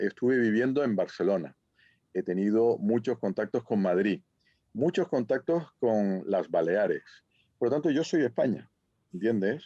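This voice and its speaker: A man with a Canarian accent speaks at a moderate pace in a medium pitch, his dark, mellow tone held at very even loudness while his intonation stays lively, recorded with a dry, close sound, no echo and a quiet background. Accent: Canarian lilt. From Canary Islands. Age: 60s. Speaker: professor. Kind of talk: conference Q&A.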